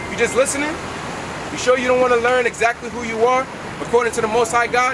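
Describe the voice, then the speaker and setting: Over noticeable background noise, a man talks very fast and loud at an extremely high pitch, his intonation flat and monotone. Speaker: street preacher. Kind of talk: street preaching.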